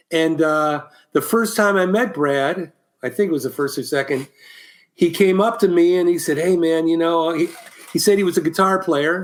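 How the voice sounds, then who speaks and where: A man's high voice with an American accent, ordinary pitch variation and a moderate pace. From Ohio, Columbus. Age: 60s. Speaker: musician and former band production manager. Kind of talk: casual interview chat.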